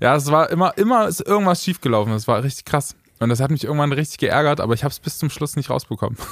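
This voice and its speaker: On a very clean recording with a silent background, a man races along at a very fast pace, his fairly high voice carrying lively intonation. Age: 20s. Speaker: singer and podcast co-host. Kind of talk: casual chat.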